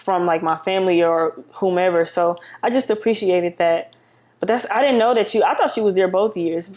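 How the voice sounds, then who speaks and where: Against a quiet background, a woman with a medium pitch speaks at a fairly quick pace. Her loudness stays very even, with ordinary pitch variation. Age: 30s. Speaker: podcast host. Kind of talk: casual chat.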